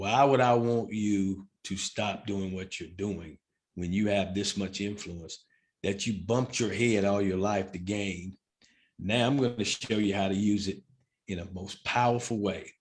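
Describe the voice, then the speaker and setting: A plain, everyday voice from a man, fairly low in pitch, fairly even in intonation, at a fairly slow pace. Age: 60s. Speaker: baseball umpire. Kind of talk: casual chat.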